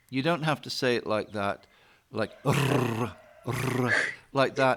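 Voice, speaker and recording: A man with a British accent speaks very slowly at a medium pitch with ordinary pitch variation. Background noise is noticeable. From Britain. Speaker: English teacher. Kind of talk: online lesson. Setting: video call.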